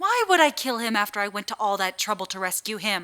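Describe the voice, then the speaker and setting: A woman puts on a growling character voice at a medium pitch. She talks very fast, and her pitch varies in an ordinary way. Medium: audio drama. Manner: terse, blunt.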